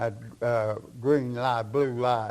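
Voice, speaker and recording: A man with a Kentucky accent speaks at a very slow pace. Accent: Southern US (Kentucky). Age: 90s. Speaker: retired county sheriff. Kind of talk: interview answer, storytelling.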